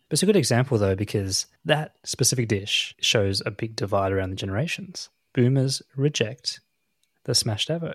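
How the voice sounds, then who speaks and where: In a dry, close sound with no echo, a man of medium pitch talks at a moderate pace, somewhat breathy and with lively intonation. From Australia. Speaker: podcast co-host. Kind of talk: casual chat.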